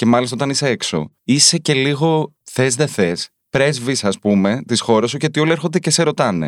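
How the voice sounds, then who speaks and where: Recorded dry and close with no echo, a man speaks at a moderate pace with vocal fry. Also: very clean recording, silent background. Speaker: journalist and author. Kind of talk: casual chat. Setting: studio.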